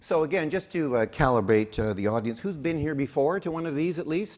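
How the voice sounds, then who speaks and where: This man has an unremarkable speaking voice with a Canadian accent, a fairly high pitch, lively intonation and a fairly quick pace. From Saskatchewan, Canada. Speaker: conference emcee. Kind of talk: event hosting with humor.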